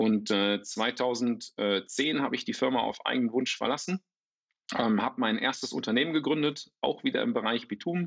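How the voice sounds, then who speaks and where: A man talks at a moderate pace, his pitch varying in an ordinary way. The sound is dry and close, without echo. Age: 50s. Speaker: startup founder. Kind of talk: interview. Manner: halting, many fillers and repetitions.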